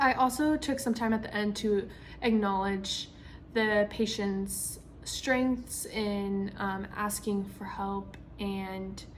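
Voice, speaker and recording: Audible room echo surrounds a woman's somewhat breathy voice at a medium pitch. She speaks at a very slow pace with fairly even intonation. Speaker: physician assistant student. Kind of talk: spoken self-reflection. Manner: hesitant, many ums and stutters.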